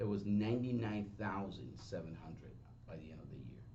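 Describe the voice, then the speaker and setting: Audible room echo surrounds a man's dark, mellow voice. It sits fairly low and carries vocal fry. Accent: strong Spanish. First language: Spanish. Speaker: real estate agent and trainer. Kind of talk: seminar talk. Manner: halting, with false starts.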